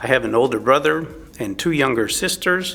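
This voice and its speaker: Here a man with a Texan accent talks at a moderate pace, with a medium pitch and ordinary pitch variation. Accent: Texan (US Southern). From Texas. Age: 60s. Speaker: churchgoer sharing faith story. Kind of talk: testimony. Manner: halting.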